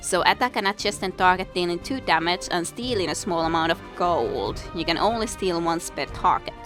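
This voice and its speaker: Over music in the background, a woman speaks at medium pitch. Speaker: let's play gamer. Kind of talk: video game commentary. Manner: casual.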